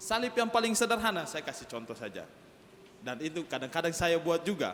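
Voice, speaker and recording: A man with a high pitch speaks at a moderate pace. His intonation is lively. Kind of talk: sermon.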